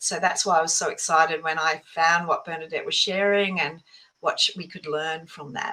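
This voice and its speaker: With an Australian accent, a woman speaks at a fairly quick pace in a bright, sharp tone. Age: 60s. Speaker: author and mindset coach. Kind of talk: podcast interview. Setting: podcast.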